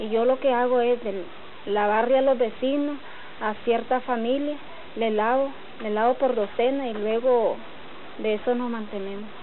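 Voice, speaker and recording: A woman's high voice at a fairly slow pace, with long, frequent pauses, fairly even intonation, noticeable background noise and audible room echo. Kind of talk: documentary interview.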